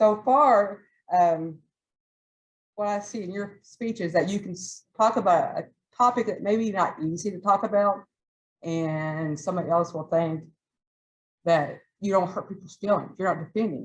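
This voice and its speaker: This voice has a Southern accent, big swings in loudness, and long, frequent pauses. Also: woman, medium pitch for a woman, ordinary pitch variation, moderate pace. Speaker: toastmasters club member giving a speech. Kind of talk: prepared club speech.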